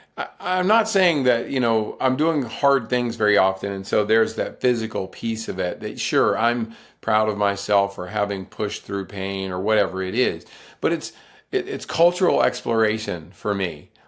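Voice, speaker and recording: A man with an American accent has a plain, everyday voice, fairly low in pitch, with lively intonation at a moderate pace. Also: very clean recording, silent background. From US South, North Carolina. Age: 60s. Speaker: ultrarunner and author. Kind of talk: podcast interview.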